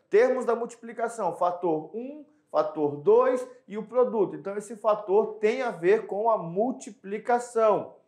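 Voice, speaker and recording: Animated in tone, a man with a high pitch speaks at a fairly slow pace with ordinary pitch variation. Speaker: math teacher. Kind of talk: lecture.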